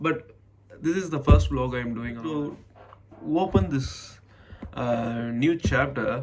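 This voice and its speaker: Over music in the background, a man with an Indian accent speaks at a very slow pace and medium pitch, using lively intonation and long, frequent pauses. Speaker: MBA student. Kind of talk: casual talk to camera. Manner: hesitant, halting.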